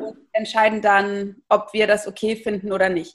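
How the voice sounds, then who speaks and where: A woman's voice with fairly high pitch. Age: 30s. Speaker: startup founder and managing director. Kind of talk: interview. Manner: hesitant, many filler sounds.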